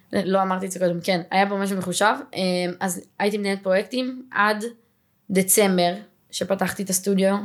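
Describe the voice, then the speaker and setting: With a medium pitch and fairly even intonation, a woman speaks fairly quickly, pausing long and often. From Israel, Ramat Gan. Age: 20s. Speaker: pilates studio owner. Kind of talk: podcast interview.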